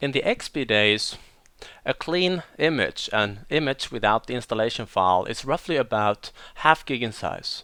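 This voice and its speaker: A man with a Swedish accent speaks at a moderate pace and medium pitch. His tone is bright and sharp, and his intonation is lively. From Sweden, west coast. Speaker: IT deployment trainer. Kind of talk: technical training tutorial.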